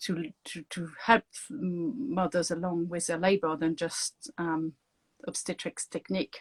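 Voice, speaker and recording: A woman speaks in a French accent, with a fairly low pitch and ordinary pitch variation. Her pace is fairly slow, and the recording is very clean, dry and close, with a silent background and no echo. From France. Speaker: doula and author. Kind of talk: interview.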